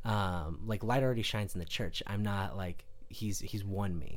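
In an unremarkable speaking voice, a man talks at a fairly quick pace with a fairly low pitch and ordinary pitch variation. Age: 20s. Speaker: comedian and musician. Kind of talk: casual chat.

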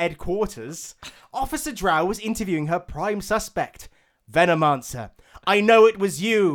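This is a natural reading voice. It carries ordinary pitch variation.

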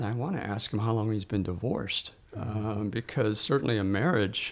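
A man's somewhat breathy voice at a fairly low pitch. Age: 70s. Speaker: theatre professor and historical reenactor. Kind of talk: interview. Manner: halting.

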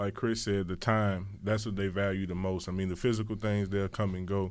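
A man's fairly low voice with a Louisiana accent, fairly quick and monotone. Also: very clean recording, silent background. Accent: Southern US, Louisiana. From Louisiana, New Iberia. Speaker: pro football player. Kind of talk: radio interview. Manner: passionate, intense.

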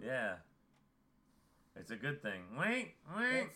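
Here a man performs a put-on character voice at a fairly high pitch. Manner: squawky, winking, sly.

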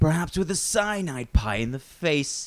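Doing a put-on character voice, a man talks at a moderate pace with a raspy, fairly high-pitched sound. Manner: mournful, theatrical.

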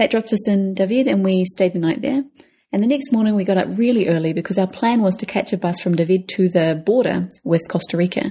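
A very fast, somewhat breathy woman's voice, dark and mellow in tone, with very even loudness. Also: medium pitch for a woman, ordinary pitch variation. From New Zealand. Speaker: travel podcast co-host. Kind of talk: casual chat.

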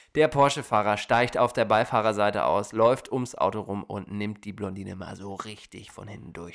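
A man speaks in an ordinary speaking voice, fairly low in pitch, with ordinary pitch variation at a moderate pace. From Germany. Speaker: podcast host. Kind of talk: casual chat. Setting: studio.

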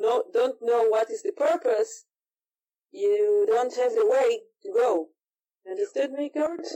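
The speaker has an Israeli accent. The pace is fairly slow. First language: Hebrew. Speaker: martial arts instructor. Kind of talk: casual interview. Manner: halting, searching for English words.

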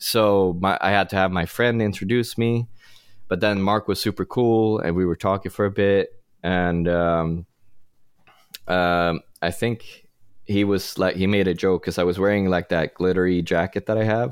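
A man's very deep, low voice with a Swedish accent, at a moderate pace, fairly even intonation and very even loudness, on a very clean recording with a silent background. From Sweden. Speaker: rock musician. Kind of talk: casual interview.

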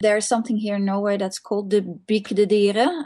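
Somewhat breathy and dark, mellow in tone, a woman speaks at a fairly high pitch in a Dutch accent. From Netherlands. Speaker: museum staff member. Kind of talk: interview. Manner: halting, many fillers.

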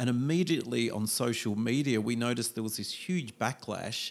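A man with an Australian accent, medium pitch, ordinary pitch variation and a moderate pace. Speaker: foreign correspondent. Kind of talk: interview. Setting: in person in Shanghai.

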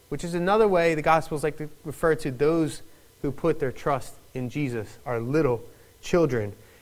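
A man talks with a Philadelphia accent at a fairly slow pace. His pitch is fairly high. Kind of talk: sermon. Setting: church.

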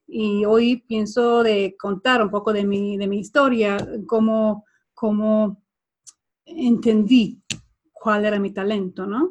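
A woman speaks very slowly in a somewhat breathy, fairly high voice with ordinary pitch variation. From Sweden. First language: Swedish (speaking Spanish). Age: 40s. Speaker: body language trainer. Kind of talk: interview. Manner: halting.

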